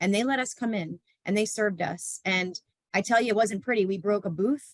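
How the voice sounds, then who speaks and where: The speech moves at a fairly quick pace with ordinary pitch variation, captured dry and close with no echo. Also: woman, medium pitch for a woman. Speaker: behavior support professional. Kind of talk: panel discussion. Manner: fast.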